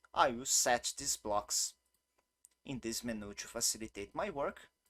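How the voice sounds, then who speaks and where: A man speaks at a fairly slow pace with a Brazilian Portuguese accent, his medium-pitched voice bright and sharp in tone, with lively intonation. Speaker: game developer. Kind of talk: tutorial. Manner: non-native, occasional halting.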